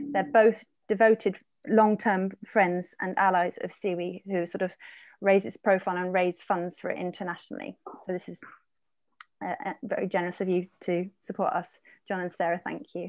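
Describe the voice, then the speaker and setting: At a moderate pace and medium pitch, a woman speaks with ordinary pitch variation, the sound dry with no echo and the background quiet. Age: 40s. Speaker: arts organisation co-director and event moderator. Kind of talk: online event moderation. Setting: video call from her office. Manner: hesitant, many fillers. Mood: warm, enthusiastic. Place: home room. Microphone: earbuds.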